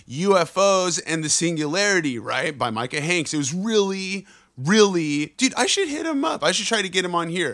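A man speaks in a high pitch with an animated tone. The recording is very clean, with a silent background. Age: 30s. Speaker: podcast host and touring musician. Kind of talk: casual chat.

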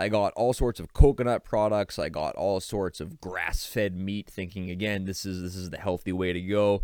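Recorded very cleanly against a silent background, a man with an American accent and an ordinary speaking voice speaks at a moderate pace, fairly low in pitch, with fairly even intonation. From Boston area, Massachusetts. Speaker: podcast host. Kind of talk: solo podcast monologue. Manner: casual, conversational.

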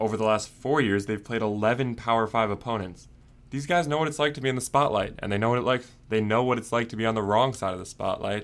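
A man with a medium pitch and an American accent at a very fast pace, with ordinary pitch variation, on a very clean recording with a silent background. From US Northeast, Long Island, New York. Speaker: sports podcast co-host and college football beat writer. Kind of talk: casual sports podcast analysis.

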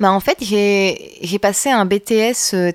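A woman speaks at medium pitch with a slight northern French accent and ordinary pitch variation. The sound is dry and close, with no echo. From northern France (Roubaix). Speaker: bassist and singer-songwriter. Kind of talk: casual interview chat.

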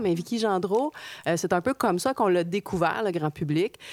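This woman has an unremarkable speaking voice, fairly low in pitch with ordinary pitch variation. She talks at a fairly quick pace, and the sound is dry and close with no echo. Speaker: podcast co-host. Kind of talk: casual interview chat.

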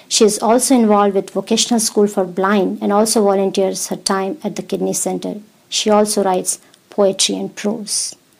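Her intonation is flat and monotone. The woman's pitch stays in the medium range. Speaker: radio host. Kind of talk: radio interview. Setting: studio. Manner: warm, polite.

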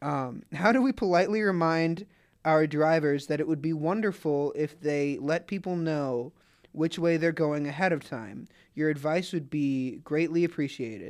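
In a very clean recording with a silent background, a man with an American accent uses a normal speaking voice, fairly high in pitch with ordinary variation. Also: moderate pace. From Atlanta, US South. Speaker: podcast co-host. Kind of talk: casual chat.

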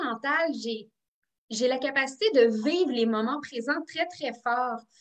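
A woman talks very slowly in a high pitch, her intonation lively. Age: 30s. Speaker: psychoeducator and author. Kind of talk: interview. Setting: video call.

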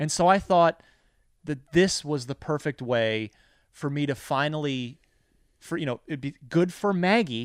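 Over a very clean recording with a silent background, a man with an American accent talks at a fairly slow pace in a fairly high voice, with ordinary pitch variation and long, frequent pauses. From New Jersey. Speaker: video game journalist and show host. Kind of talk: casual storytelling interview. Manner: loud.

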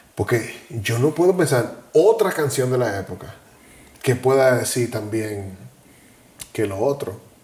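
Speaking at a fairly slow pace with long, frequent pauses, a man uses a medium pitch and lively intonation amid noticeable background noise. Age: 40s. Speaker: podcast co-host. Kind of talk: casual chat.

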